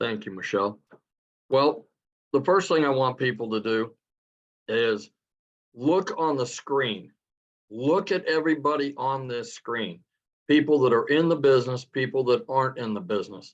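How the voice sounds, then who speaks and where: This man talks at a moderate pace in a medium pitch, with lively intonation and long, frequent pauses. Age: 60s. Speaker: realtor. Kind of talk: testimony.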